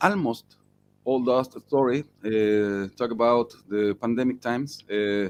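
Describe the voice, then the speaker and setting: Very slowly, a man with a Spanish accent speaks at a medium pitch with ordinary pitch variation. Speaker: rock musician. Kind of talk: interview. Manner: halting.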